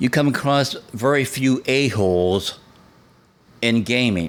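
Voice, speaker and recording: Lively intonation in a man's medium-pitched voice. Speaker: podcast host. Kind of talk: podcast monologue. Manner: calm, laid-back; not animated.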